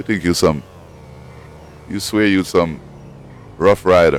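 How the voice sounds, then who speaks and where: Over music in the background, someone speaks at a fairly slow pace with a Jamaican accent. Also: man. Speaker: gaming streamer. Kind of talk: gameplay commentary. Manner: animated.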